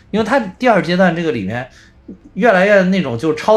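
A somewhat breathy voice moves at a fairly quick pace with very wide pitch swings. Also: man. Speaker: podcast co-host. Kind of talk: casual chat. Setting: remote online recording.

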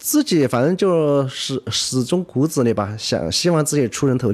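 Against a quiet background, a man with a normal speaking voice talks at a fairly high pitch with lively intonation. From Yibin, Sichuan, China. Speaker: food business founder. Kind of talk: radio interview.

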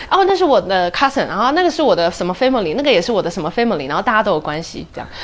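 A woman speaks with a southern Taiwanese accent and very wide pitch swings. Noticeable noise sits in the background. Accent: Taiwanese Mandarin, soft southern. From Taipei, Taiwan. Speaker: theatre director and producer. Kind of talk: casual interview chat.

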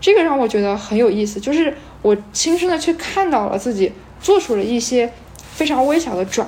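Against noticeable background noise, a woman speaks fairly quickly in a high pitch with lively intonation. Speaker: volunteer English teacher. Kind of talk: casual chat.

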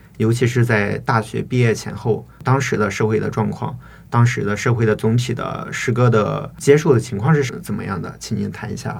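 A man with a medium-pitched voice and vocal fry speaks at a moderate pace. His intonation stays fairly even. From Shiyan, Hubei, China. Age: 20s. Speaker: doctoral student and poet. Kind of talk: interview conversation. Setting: studio. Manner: hesitant, filler-heavy academic speech.

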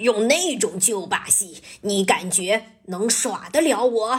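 A woman's put-on character voice, growling and menacing, fairly high-pitched, at a fairly slow pace. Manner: growling, menacing.

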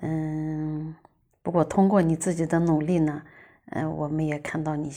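Very deep and low, a woman's voice moves at a fairly slow pace with a dark, mellow tone. Her intonation is monotone and flat. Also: very clean recording, silent background. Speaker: guest's mother. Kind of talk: prepared message. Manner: halting.

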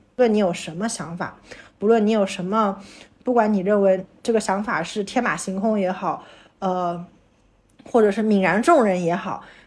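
Her voice is an ordinary speaking voice, a woman at medium pitch with ordinary pitch variation. She speaks at a moderate pace in a very clean recording with a silent background. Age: 30s. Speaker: podcast co-host and new mother. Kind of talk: casual chat.

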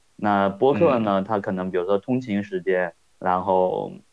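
A man has an ordinary speaking voice, fairly low in pitch with ordinary pitch variation. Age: 40s. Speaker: podcast listener. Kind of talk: casual chat.

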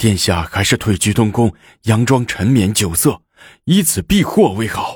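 Putting on a character voice, a man speaks at a moderate pace with a shaky, fairly low pitch.

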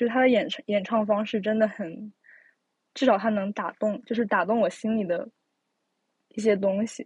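Her voice is somewhat breathy. The woman's pitch sits fairly high. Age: young. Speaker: podcast host. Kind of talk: casual chat. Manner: hesitant, many fillers.

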